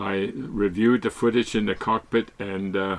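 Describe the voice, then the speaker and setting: This man speaks in a flat, monotone way. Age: 80s+. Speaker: solo sailor. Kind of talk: narration. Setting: on a yacht at sea. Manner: halting.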